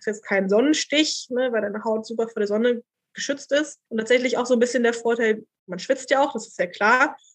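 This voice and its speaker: A woman with an ordinary speaking voice talks at a fairly quick pace, her fairly high pitch showing ordinary variation. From Berlin. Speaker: doctoral researcher in textile archaeology. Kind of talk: casual interview.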